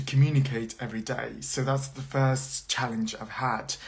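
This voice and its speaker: Monotone, flat intonation is heard through audible room echo and noticeable background noise. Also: man. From China. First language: Mandarin Chinese. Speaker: university lecturer. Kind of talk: live social media chat. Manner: halting with many fillers.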